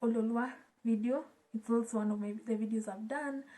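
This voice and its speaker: With a Kenyan accent, a woman speaks at a moderate pace in a fairly high pitch, her tone dark and mellow and somewhat breathy. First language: Swahili. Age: 20s. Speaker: YouTuber. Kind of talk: casual vlog chat. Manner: code-switching between English and Swahili.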